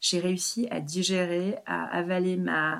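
This is a woman with a fairly low voice. Her intonation stays fairly even. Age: 40s. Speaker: separated mother. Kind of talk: interview. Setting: at her home. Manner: halting, many repetitions.

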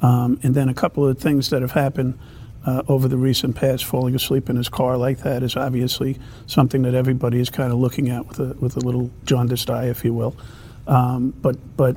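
The man's medium-pitched voice races along at a very fast pace. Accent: American. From New York City. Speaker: former police chief and mayoral candidate. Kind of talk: political roundtable discussion. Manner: hesitant, many fillers.

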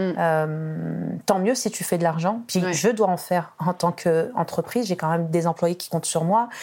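Dark, mellow tone with ordinary pitch variation. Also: woman, fairly low pitch for a woman, hardly any pauses. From France, Tunisian family. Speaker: business owner. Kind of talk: interview. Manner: animated.

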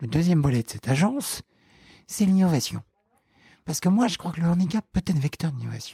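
Lively in intonation, a man speaks with a high pitch and a dark, mellow tone. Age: 20s. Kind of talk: interview. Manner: halting, many fillers and repeated words.

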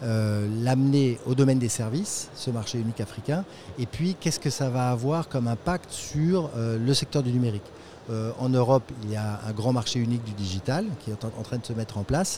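A man speaks in a plain, everyday voice at a moderate pace. His pitch is medium, with ordinary variation. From France. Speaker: international development program manager. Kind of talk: interview. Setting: tech trade show.

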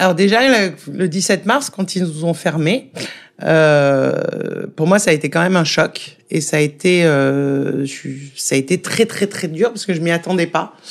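A woman speaks at a fairly slow pace with vocal fry, a fairly low pitch and ordinary pitch variation. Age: 40s. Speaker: restaurant owner. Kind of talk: interview.

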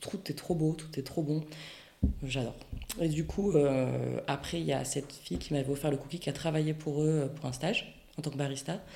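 A woman speaks with a very deep, low pitch. Noticeable background noise runs behind her. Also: moderate pace. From French Basque Country (Bayonne). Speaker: ceramicist. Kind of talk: interview. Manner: animated.

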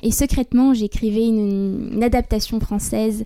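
Intonation here is fairly even. The tone sounds dark and mellow. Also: woman. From France, Libourne (Gironde). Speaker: singer-songwriter. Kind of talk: interview. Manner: halting, many fillers.

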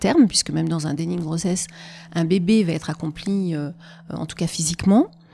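This woman's tone is dark and mellow. She talks at a fairly quick pace. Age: 50s. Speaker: perinatal psychologist. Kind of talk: interview conversation. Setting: in person, Annecy.

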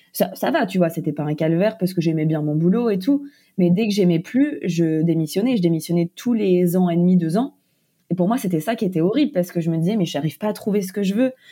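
A woman's medium-pitched, dark, mellow voice at a fairly quick pace with lively intonation. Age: 20s. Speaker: author and content creator. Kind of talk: interview. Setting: remote interview.

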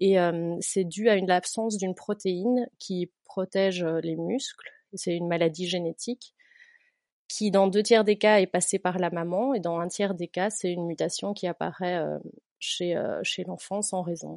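A woman's medium-pitched voice at a fairly slow pace, with fairly even intonation and a dry, close sound with no echo. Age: 30s. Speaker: teacher and patient-association volunteer. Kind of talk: interview. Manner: halting.

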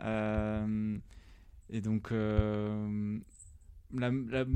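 A man talks in a dark, mellow tone. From southern France, rural Drôme. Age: 30s. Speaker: tech product manager. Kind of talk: interview.

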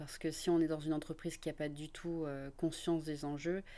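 A woman's dark, mellow voice with a fairly low pitch comes through on a very clean recording with a silent background. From northern France, Lille area. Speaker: corporate social intrapreneur. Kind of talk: interview.

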